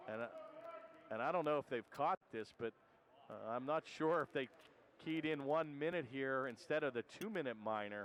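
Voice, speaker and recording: A man speaks at a moderate pace and a fairly high pitch, with ordinary pitch variation. Long, frequent pauses break up the dry, close sound with no echo. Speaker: hockey commentator. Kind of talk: live commentary. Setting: broadcast booth at ice rink. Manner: loud.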